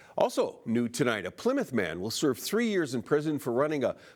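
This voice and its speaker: Very wide pitch swings and vocal fry mark this moderate-paced voice, captured in a very clean recording with a silent background. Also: man. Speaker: television news anchor. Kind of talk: TV news anchor read.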